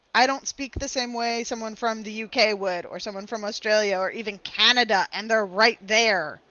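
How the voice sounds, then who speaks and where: In an American accent, a woman speaks with a fairly high pitch. Her intonation is fairly even, and her pace is moderate. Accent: Southern US accent toned down with students. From US South. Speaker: English tutor. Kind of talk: online language lesson conversation. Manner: clear, careful enunciation.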